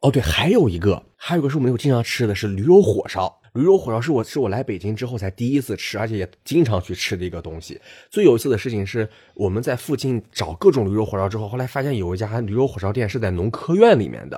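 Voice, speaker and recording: With a dark, mellow tone and a somewhat breathy quality, a man talks very fast at a medium pitch with lively intonation in a very clean recording against a silent background. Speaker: podcast co-host. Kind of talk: casual chat.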